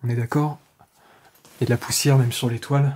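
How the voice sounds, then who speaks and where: Light background noise sits behind a man speaking at a moderate pace and medium pitch. His intonation is monotone and flat. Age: 30s. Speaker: urban explorer YouTuber. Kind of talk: vlog narration while exploring. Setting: outdoors and abandoned house. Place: home room. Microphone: phone near.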